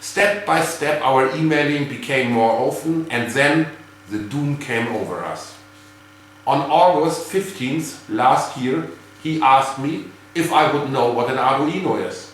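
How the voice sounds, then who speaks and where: Amid noticeable background noise and audible room echo, a man with a German accent talks at a fairly slow pace with a fairly high pitch and ordinary pitch variation. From Germany. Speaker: geocacher and hobby cache builder. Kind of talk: prepared video greeting.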